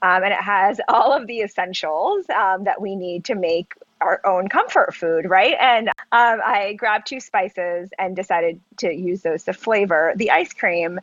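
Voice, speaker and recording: A woman's medium-pitched voice at a fairly slow pace, with ordinary pitch variation and hardly any pauses. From US South, North Carolina (Charlotte). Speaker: ice cream company founder. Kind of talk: casual interview. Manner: hesitant, many fillers.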